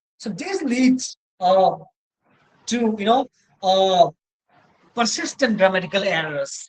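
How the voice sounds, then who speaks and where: The speaker has a Cameroonian accent. The pace is moderate. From Northeast India. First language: Mosong. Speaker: university lecturer. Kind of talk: lecture. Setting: online session with slides. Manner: halting, many fillers and self-corrections.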